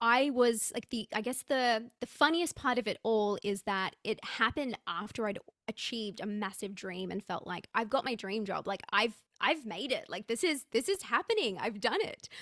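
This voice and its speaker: Speaking with an Australian accent, a woman uses a fairly high pitch and ordinary pitch variation, captured in a dry, close sound with no echo. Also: moderate pace. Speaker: personal branding coach. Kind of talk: interview conversation.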